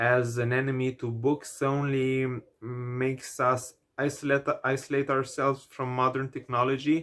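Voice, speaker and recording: This man's voice sits at a medium pitch, delivered in a monotone with flat intonation. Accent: Romanian. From Romania. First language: Romanian. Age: 20s. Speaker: book vlogger. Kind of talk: vlog monologue. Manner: hesitant, many fillers.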